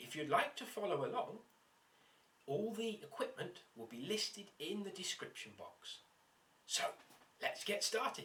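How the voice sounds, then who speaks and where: A man with a British accent speaks at a fairly slow pace with long, frequent pauses amid noticeable background noise. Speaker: science teacher. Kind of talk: tutorial. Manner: quieter; loud.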